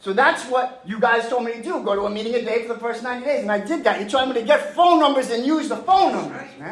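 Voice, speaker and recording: A man's extremely high-pitched voice in a passionate tone with an American accent, very fast with hardly any pauses, ordinary pitch variation, and noticeable background noise. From New York, Long Island (Mastic). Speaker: recovering addict, 12-step speaker. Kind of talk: recovery testimony. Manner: loud, passionate.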